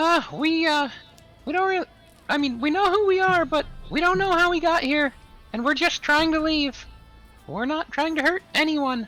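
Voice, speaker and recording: A put-on character voice, squeaky and high-pitched, moves at a moderate pace. It leaves long, frequent pauses while music plays behind it. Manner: hesitant, placating.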